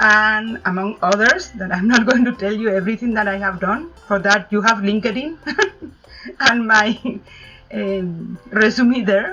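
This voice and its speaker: Fairly slow speech from a woman with a Spanish accent, fairly high in pitch with ordinary pitch variation, music in the background. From Spain, Madrid. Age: 50s. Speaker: travel consultant. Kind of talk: interview.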